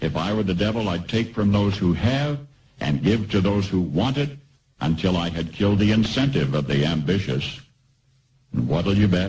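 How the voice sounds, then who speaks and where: Fairly low in pitch, a somewhat breathy man speaks with lively intonation. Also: moderate pace. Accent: American. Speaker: radio commentator. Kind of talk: radio commentary.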